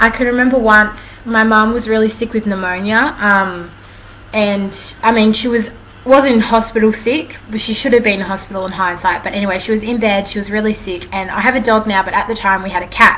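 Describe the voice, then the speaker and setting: A fairly quick voice with an Australian accent and fairly even intonation over noticeable background noise. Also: woman, fairly high pitch for a woman. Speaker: vlogger. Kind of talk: casual storytelling vlog. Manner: fast.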